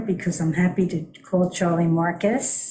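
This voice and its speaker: A woman with a fairly low pitch, a dark, mellow tone, a somewhat breathy voice, and a fairly slow pace. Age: 80s+. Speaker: volunteer board member. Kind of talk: public board meeting discussion.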